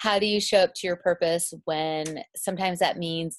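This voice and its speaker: A woman with a normal speaking voice talks at a moderate pace and fairly low pitch, her intonation fairly even, in a dry, close sound with no echo and a quiet background. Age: 40s. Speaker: author and publisher. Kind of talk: casual chat.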